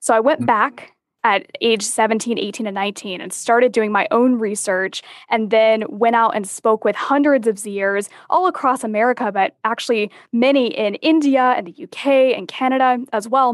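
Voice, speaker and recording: This is an unremarkable speaking voice at a moderate pace. Pitch varies in an ordinary way over a quiet background. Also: woman, fairly high pitch for a woman. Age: 20s. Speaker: business consultant and author. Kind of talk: interview.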